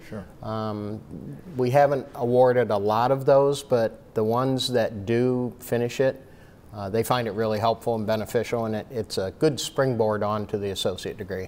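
At a moderate pace, a man talks with an American accent and fairly even intonation. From northwest Ohio (Maumee); Ohio. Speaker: college dean; guest. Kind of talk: casual interview. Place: hall. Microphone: lapel.

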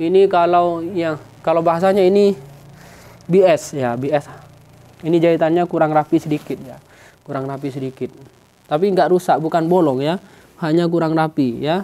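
A woman's fairly low voice with fairly even intonation and long, frequent pauses. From East Java, Indonesia. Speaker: sarong seller. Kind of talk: street seller pitch, rapid-fire sales promo to camera. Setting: shop, speaking to camera. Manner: fast, repetitive, urgent; rambling, self-correcting. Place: shop.

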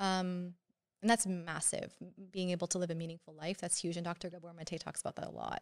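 A woman with a Canadian accent talks at a fairly quick pace in a fairly low pitch, her intonation monotone and flat against a quiet background. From Canada, Syrian family. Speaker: psychiatry resident; podcast guest. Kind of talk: casual interview. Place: studio. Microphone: studio mic.

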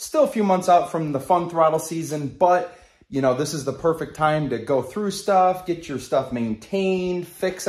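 Over a quiet background with audible room echo, a man with an American accent and a fairly high pitch sounds upbeat, using ordinary pitch variation. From Upstate New York. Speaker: snowmobile vlogger. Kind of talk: casual vlog. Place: garage. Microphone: phone near.

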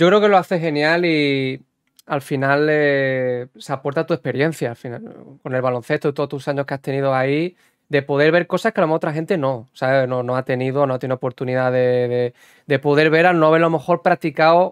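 Over a quiet background with dry, echo-free sound, a man speaks at a fairly quick pace in a fairly high pitch with ordinary pitch variation. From Spain. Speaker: podcast host and basketball video game streamer; podcast host, basketball video game streamer. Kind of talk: interview. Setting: livestream podcast. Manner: animated. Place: home room. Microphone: studio mic.

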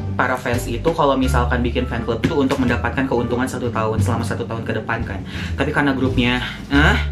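Over clear music in the background, a man talks at a very fast pace. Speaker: fan vlogger. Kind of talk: casual vlog chat. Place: home room.

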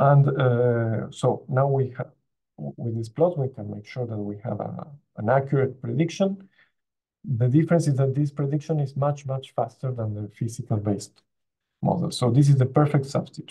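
Against a quiet background, a man speaks at a moderate pace in a somewhat breathy voice with a dark, mellow tone, medium pitch and ordinary pitch variation. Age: young. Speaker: postdoctoral researcher; presenter. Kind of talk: conference talk. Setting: video call. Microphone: video call.

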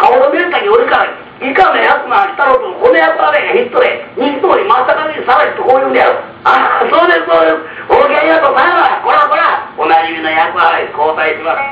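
A man talks at a fairly quick pace in a Kansai accent. Noticeable background noise runs under him. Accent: Kansai (Osaka) dialect. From Osaka. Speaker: rakugo storyteller. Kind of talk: rakugo comic storytelling, old gramophone recording.

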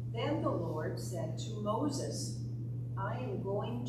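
A woman at a very slow pace, with audible room echo and loud background noise. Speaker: lay scripture reader. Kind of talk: scripture reading. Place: church. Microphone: podium.

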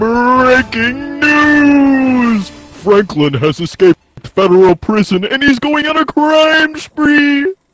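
In a put-on character voice, a man speaks at an extremely high pitch with lively intonation, very slowly and with hardly any pauses. Faint music plays in the background. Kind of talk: comic overacting newscaster parody. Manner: loud, urgent, exclaiming.

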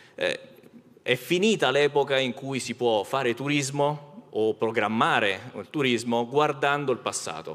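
This man speaks at a fairly slow pace. His pitch varies in an ordinary way. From Rome; Italy. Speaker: company executive; speaker. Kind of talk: conference panel talk. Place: stage. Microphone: handheld.

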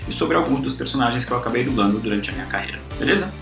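A man's voice comes with audible room echo and faint music in the background. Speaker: voice actor. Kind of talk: casual invitation message to fans. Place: home room. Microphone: webcam.

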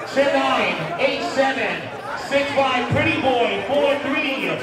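Crowd noise can be heard in the background. The room also adds an audible echo. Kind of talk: event MC commentary. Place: hall.

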